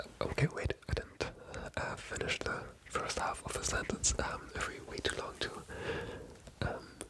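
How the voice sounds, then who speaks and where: The words come as a whisper at a fairly slow pace. Background noise is noticeable. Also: woman. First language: not English. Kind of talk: ASMR book discussion, whispered storytelling to camera. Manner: soft, hesitant, rambling.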